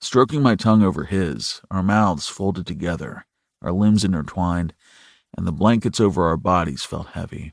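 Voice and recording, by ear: Reading aloud in a natural voice, over a quiet background.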